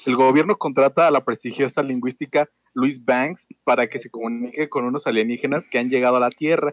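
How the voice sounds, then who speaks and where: A normal speaking voice, this man talks at a fairly quick pace and a medium pitch, in a dry, close sound with no echo. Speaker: podcast host. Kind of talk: reading aloud; casual chat.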